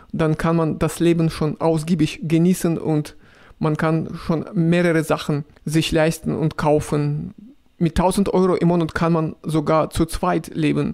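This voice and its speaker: A man with a fairly high voice, flat and monotone, at a fairly slow pace. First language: Russian (speaking German). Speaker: video blogger. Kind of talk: casual vlog, answering viewer questions. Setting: riding a tram. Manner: halting, with fillers.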